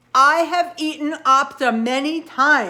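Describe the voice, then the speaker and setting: Pitched high and moving fairly slowly, a woman's voice takes on a put-on character. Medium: read story. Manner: halting, clipped.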